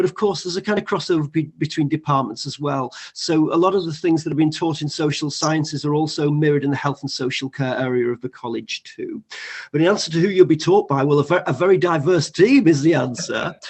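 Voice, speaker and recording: Speaking very fast, a man with a northern English accent uses a fairly high pitch and ordinary pitch variation. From northern England. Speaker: college teacher. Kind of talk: online panel discussion. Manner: halting.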